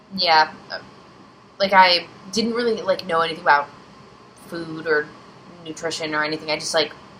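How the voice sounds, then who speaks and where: A woman talks at a moderate pace with a fairly low pitch and fairly even intonation. Noticeable background noise runs underneath. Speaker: vlogger. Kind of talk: personal vlog storytelling. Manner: rambling, hesitant.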